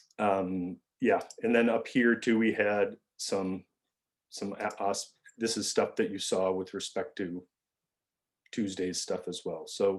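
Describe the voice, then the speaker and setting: A man's fairly low-pitched voice against a quiet background. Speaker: university lecturer. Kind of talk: lecture. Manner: fast.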